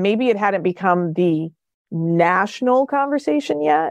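A woman speaks in a fairly low pitch with a New Jersey accent. The sound is dry and close with no echo, against a quiet background. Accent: American, New Jersey. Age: 50s. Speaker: professor and social psychologist. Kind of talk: interview conversation.

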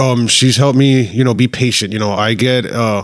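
Fairly even intonation marks this man's speech, delivered with an American accent. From Miami, Florida. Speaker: Instagram page admin. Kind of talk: casual chat.

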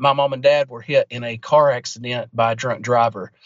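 A man with a plain, everyday voice talks at a moderate pace, his fairly high pitch showing ordinary pitch variation. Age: 20s. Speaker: pastor. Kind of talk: casual interview.

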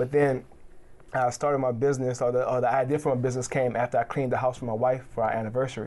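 A man's very fast, monotone, flat speech at a medium pitch, dark and mellow in tone. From New Orleans, Louisiana. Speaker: cleaning business owner. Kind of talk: interview.

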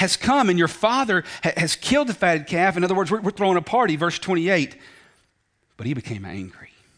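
A man with a Southern US accent talks at a fairly quick pace in a high pitch. His intonation is lively and his tone animated. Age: 40s. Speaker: preacher. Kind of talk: sermon. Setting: church.

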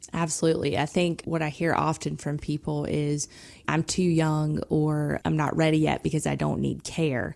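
A woman with a Southern US accent speaks at a moderate pace with very even loudness, in a very clean recording with a silent background. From South Georgia. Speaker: senior living sales director. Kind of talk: radio interview.

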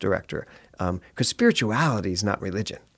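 A man with an American accent and a plain, everyday voice talks at a fairly low pitch and a fairly quick pace with ordinary pitch variation, on a very clean recording with a silent background. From US Northeast, Philadelphia. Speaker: minister and former stage actor. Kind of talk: interview.

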